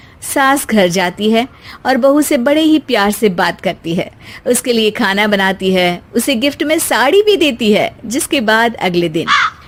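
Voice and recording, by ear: A woman's fairly high voice, lively in intonation, at a fairly slow pace with few pauses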